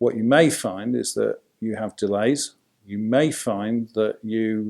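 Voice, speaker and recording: Against a quiet background, a man with a Yorkshire accent speaks at medium pitch, fairly slowly, with fairly even intonation. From Yorkshire, England. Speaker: family law solicitor. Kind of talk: casual talk to camera.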